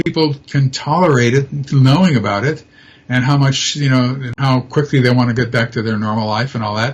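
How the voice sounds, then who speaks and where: Fairly even intonation in a somewhat breathy male voice. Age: 70s. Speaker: abduction researcher and retired professor. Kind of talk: interview. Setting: live stream talk show. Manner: halting, many fillers and repeats.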